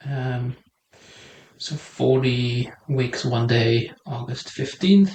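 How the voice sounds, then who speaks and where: A man's somewhat breathy voice at medium pitch, with ordinary pitch variation and a very slow pace. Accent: Belgian. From Belgium. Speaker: podcast host. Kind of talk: casual chat.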